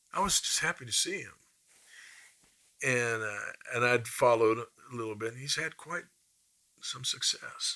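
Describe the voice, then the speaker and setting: A man with a Midwestern US accent, at a moderate pace. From Kansas (Topeka). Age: 50s. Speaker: blues musician. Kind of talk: interview storytelling.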